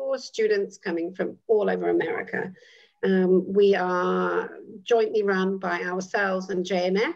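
A woman speaks with a British accent at a fairly slow pace. The background is quiet. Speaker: midwife, actress and educator; dean of student life. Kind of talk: interview answer. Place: home room. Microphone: video call.

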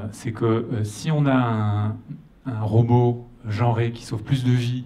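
A man speaks in a flat monotone. His voice is somewhat breathy, with a dark, mellow tone. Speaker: audience member. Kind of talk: audience question. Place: hall. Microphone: handheld.

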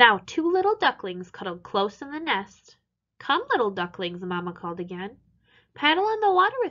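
A quiet background behind a natural reading voice

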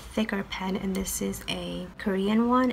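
A woman whispers at a fairly slow pace. Light background noise sits behind her. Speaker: medical student. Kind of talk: tutorial talk to camera. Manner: whispered. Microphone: webcam.

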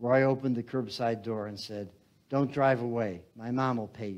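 A man with an American accent and an unremarkable speaking voice talks at a moderate pace in a medium pitch, his intonation fairly even. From US Midwest (Chicago). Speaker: author. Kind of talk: onstage author conversation with reading aloud. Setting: stage with audience. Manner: casual, rambling storyteller.

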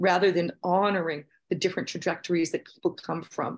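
Behind this woman is a quiet background. She speaks at a moderate pace with fairly even intonation. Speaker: researcher on social class. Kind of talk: panel discussion. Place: home room. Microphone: video call.

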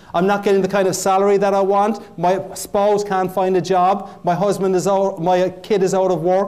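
Pitched high, a man speaks with an Irish accent. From Ireland. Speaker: motivational keynote speaker. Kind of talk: motivational keynote speech. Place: hall.

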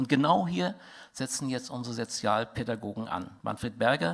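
Over a quiet background, a man speaks at a moderate pace with vocal fry. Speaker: conference speaker. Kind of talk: lecture. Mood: indignant, critical. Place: hall. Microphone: headset.

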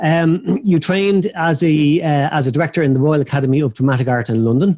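The man's tone is dark and mellow, with ordinary pitch variation. He talks at a moderate pace against a quiet background. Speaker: podcast host. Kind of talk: introduction of a guest, partly read. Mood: friendly, light laughter. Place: office. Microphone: video call.

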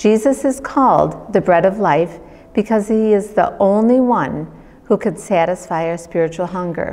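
A woman talks at a moderate speed, her pitch rising and falling in an ordinary way. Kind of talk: devotional reading. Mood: calm, reverent. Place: home room.

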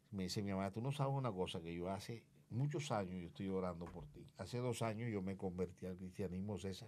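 Moving at a fairly quick pace, a man speaks with a dark, mellow tone and fairly low pitch that shows ordinary pitch variation. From Colombia, Barranquilla (Caribbean coast); Colombia. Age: 60s. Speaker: comedian and former media personality; comedian. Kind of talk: interview, life story. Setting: studio. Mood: reflective, emotional recollection. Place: studio. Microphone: studio mic.

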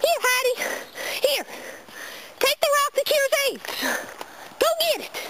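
Amid clear background noise, a put-on character voice at an extremely high pitch moves at a fairly slow pace with long, frequent pauses. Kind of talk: comedic home video skit. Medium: role play. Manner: frantic, shouting.

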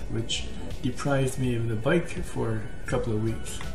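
A man talks while clear music is heard in the background. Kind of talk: casual tutorial talk. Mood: calm, friendly advice. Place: kitchen. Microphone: webcam.

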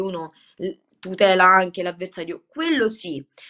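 The setting behind her is quiet. A woman talks fairly slowly. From Rome, Italy; Italy. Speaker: Muay Thai fighter; guest. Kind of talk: interview. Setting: video call. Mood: calm, grateful. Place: home room. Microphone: video call.

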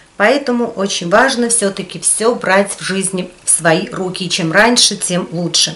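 A woman speaks at a fairly slow pace. Her voice is at a medium pitch. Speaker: video blogger. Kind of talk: casual talk to camera. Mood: calm, reflective. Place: home room.

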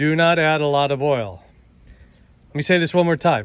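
The recording has a dry sound with no echo as a man talks with ordinary pitch variation. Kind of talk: tutorial. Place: garden. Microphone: phone near.

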